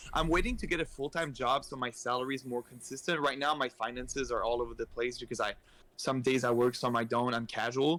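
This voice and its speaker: A man's bright, sharp voice at medium pitch, very fast, with fairly even intonation and an Acadian accent. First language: French. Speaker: esports community organizer. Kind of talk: casual chat.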